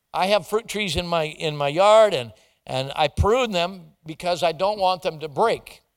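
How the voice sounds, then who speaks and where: A man with a high-pitched voice talks at a fairly slow pace with ordinary pitch variation on a very clean recording with a silent background. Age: 60s. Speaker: visiting minister. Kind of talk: sermon.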